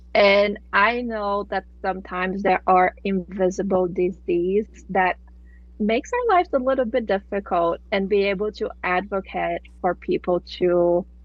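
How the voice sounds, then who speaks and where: Speaking with a Brazilian accent, a woman keeps to a medium pitch. Her pace is fairly slow and her intonation fairly even. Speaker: nonprofit accounting expert. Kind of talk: interview podcast.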